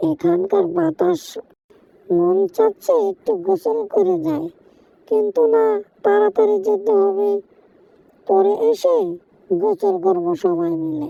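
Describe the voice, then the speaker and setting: A woman's cartoonish character voice at medium pitch, very slow pace, and a dry, close sound with no echo. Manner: bright, upbeat.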